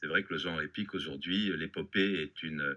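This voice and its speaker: This man's voice is bright and sharp with vocal fry and lively intonation. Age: 60s. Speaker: novelist. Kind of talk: interview. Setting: studio.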